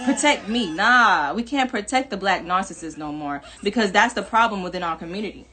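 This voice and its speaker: The voice has a bright, sharp tone, lively intonation and a fairly quick pace. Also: woman, medium pitch for a woman, hardly any pauses. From New York, Jamaican family. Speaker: livestream vlogger. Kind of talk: casual livestream monologue. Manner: animated.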